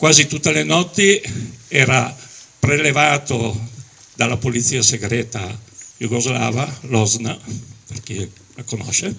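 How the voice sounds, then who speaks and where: Over noticeable background noise, a man talks at a very slow pace with long, frequent pauses. His intonation is lively, with big swings in loudness. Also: medium pitch for a man. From Dalmatia (Zadar), exiled to Italy as a child. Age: 70s. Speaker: exile and Alpini veterans' association official. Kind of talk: testimony speech at a commemoration. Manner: emotional.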